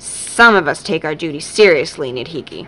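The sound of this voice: Growling in a put-on character voice, a woman speaks at a moderate pace with a very deep, low pitch.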